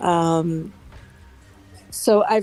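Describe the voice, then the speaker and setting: A woman speaks with music in the background. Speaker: crypto investor. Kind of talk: casual chat. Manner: hesitant, many fillers.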